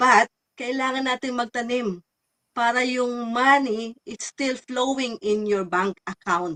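Speaking at a fairly slow pace, a woman has a high pitch and a bright, sharp tone. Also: dry, close sound with no echo. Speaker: online business owner. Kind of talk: live stream chat.

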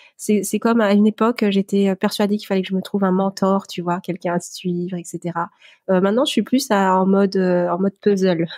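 A dark, mellow voice moves at a fairly quick pace in a dry, close sound with no echo, on a very clean recording with a silent background. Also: woman, medium pitch for a woman. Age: 40s. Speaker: lettering artist and entrepreneur. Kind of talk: interview testimony. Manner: hesitant, many filler pauses.

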